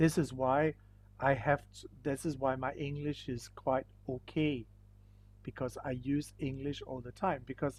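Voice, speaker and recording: A man with a Danish accent speaks fairly slowly in a fairly high-pitched, somewhat breathy voice, his intonation fairly even but his loudness swinging widely. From Denmark. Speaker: school teacher. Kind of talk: online lesson.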